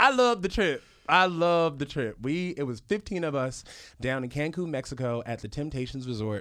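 On a very clean recording with a silent background, a man speaks at a fairly quick pace and fairly high pitch, with lively intonation and an animated, bright, sharp tone. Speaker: podcast host. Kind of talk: casual chat. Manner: animated, joking.

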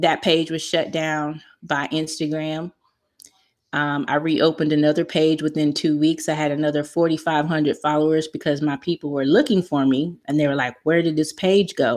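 Against a quiet background, a woman with a very deep, low pitch talks at a moderate pace with fairly even intonation. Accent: American. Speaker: online marketing specialist. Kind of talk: interview.

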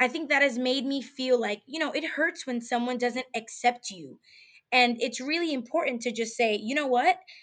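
At a moderate pace, a woman talks in an animated tone with a high pitch and ordinary pitch variation. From New York. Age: 20s. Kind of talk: casual interview.

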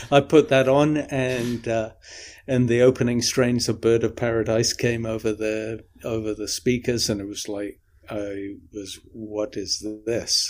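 A man with an English accent speaks at a fairly slow pace, with medium pitch and fairly even intonation. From English Midlands and north of England. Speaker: saxophonist and composer. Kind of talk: interview. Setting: remote call.

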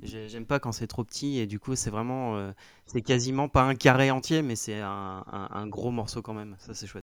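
In a very clean recording with a silent background, a man speaks at a medium pitch and moderate pace with fairly even intonation and big swings in loudness. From north-eastern France, near Reims. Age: 30s. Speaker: IT support worker, coaching client. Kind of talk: interview testimony. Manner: halting, many hesitations.

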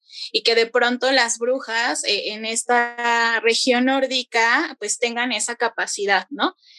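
With a Mexico City accent, the speaker talks at a very slow pace with hardly any pauses, ordinary pitch variation, and a bright, sharp tone. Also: woman, high pitch for a woman. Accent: Mexico City Spanish (chilango). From Mexico City outskirts. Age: 20s. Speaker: bike activist and workshop leader. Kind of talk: casual interview.

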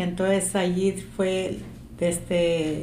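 A monotone, flat intonation is heard over noticeable background noise with audible room echo. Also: woman. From Zacatecas, Mexico. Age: 60s. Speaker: interviewee, family oral history. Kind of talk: oral history interview. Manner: sounds stern, taken as angry.

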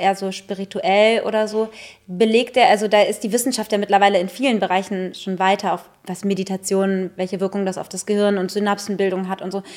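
A woman speaks with fairly even intonation at a moderate pace while noticeable background noise is heard. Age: 30s. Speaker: comedian and podcast co-host. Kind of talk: casual chat. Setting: podcast studio.

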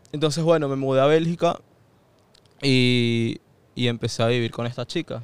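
This man speaks at a medium pitch and a moderate pace, with fairly even intonation. Long pauses come often. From Venezuela, Caracas. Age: 20s. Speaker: university student. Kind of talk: casual interview chat.

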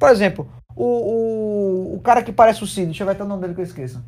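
A high-pitched man talks at a very fast pace. His pitch swings very widely. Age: 20s. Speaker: streamer. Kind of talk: casual chat.

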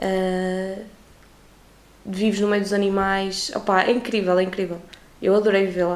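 A woman speaks at a fairly slow pace and medium pitch, with monotone, flat intonation and long, frequent pauses. Audible room echo and noticeable background noise surround her voice. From Portugal. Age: 20s. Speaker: university student. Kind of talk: casual interview chat.

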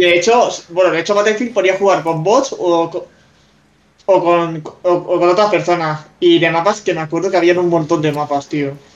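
Here a man speaks at a high pitch with fairly even intonation. His pace is moderate. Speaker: 3D artist and gamer. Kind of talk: live-streamed casual chat. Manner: halting, repeats words.

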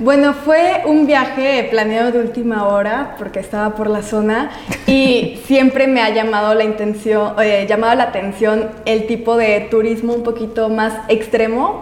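A woman's fairly high-pitched, fairly slow speech with hardly any pauses and fairly even intonation, amid noticeable background noise and audible room echo. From Aguascalientes, central Mexico. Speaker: travel photographer. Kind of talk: interview.

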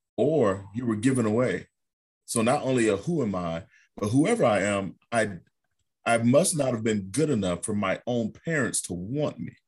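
At a moderate pace and with ordinary pitch variation, an ordinary speaking voice is captured on a very clean recording against a silent background. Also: man, medium pitch for a man. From Ohio, US Midwest. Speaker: documentary filmmaker. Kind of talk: casual chat.

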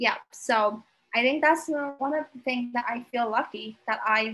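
A woman with a Vietnamese accent, fairly high in pitch, with a bright, sharp tone, ordinary pitch variation and a fairly slow pace. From Vietnam (Hanoi). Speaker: podcast guest. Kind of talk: casual interview chat. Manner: halting.

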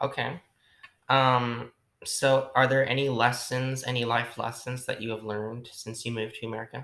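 Flat, monotone intonation at a moderate pace. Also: man, medium pitch for a man. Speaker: student interviewer. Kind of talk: interview. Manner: halting.

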